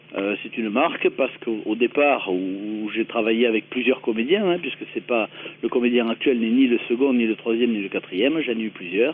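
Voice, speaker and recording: Over noticeable background noise, a man with a southern French accent talks at a fairly quick pace with ordinary pitch variation. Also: medium pitch for a man. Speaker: comedy writer and performer. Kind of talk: radio interview. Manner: hesitant, many fillers.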